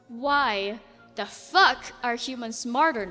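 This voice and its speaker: A woman uses a put-on character voice, raspy and high-pitched, at a very slow pace. Faint music plays in the background. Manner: frustrated, menacing.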